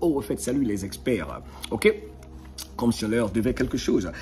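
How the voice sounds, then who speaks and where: Over music in the background, a man with a fairly low pitch speaks in an animated tone with very wide pitch swings. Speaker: motivational video host. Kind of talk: motivational monologue.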